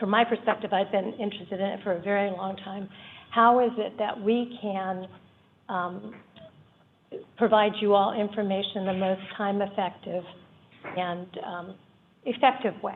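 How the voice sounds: A woman speaks at a moderate pace with medium pitch and fairly even intonation.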